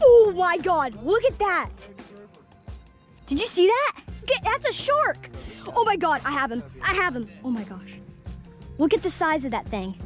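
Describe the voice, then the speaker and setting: Faint music plays in the background as the speaker goes at a fairly slow pace, the sound dry with no echo. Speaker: vlogger on boat. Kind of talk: casual vlog chat. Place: boat. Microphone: phone near.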